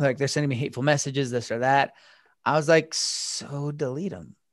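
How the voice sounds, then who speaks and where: Over a quiet background, a man with an American accent talks at a moderate pace in an unremarkable speaking voice, his pitch fairly high and his intonation fairly even. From Utah, small town. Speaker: anti-bullying speaker. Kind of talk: interview.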